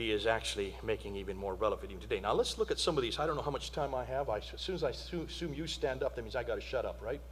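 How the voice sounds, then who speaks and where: Words come at a very fast pace from a man. There is audible room echo in the recording. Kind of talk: conference lecture. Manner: animated.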